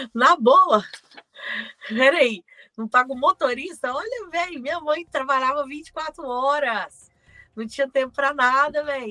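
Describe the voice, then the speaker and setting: Speaking at a fairly slow pace in a raised, projected voice, this speaker has a bright, sharp tone, ordinary pitch variation, and a dry, close sound with no echo. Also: woman. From Brazil, Belo Horizonte. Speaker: podcast co-host. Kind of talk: casual chat.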